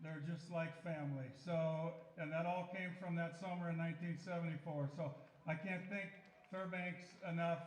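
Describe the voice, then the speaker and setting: A man with a high pitch speaks at a moderate pace. His intonation is monotone and flat, with audible room echo around him. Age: 70s. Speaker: former summer league baseball player. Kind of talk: speech to crowd. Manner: halting.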